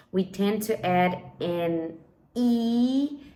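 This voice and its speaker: This is a woman speaking with ordinary pitch variation. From Brazil. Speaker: English teacher. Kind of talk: personal story and language tips. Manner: clear and measured for listening practice.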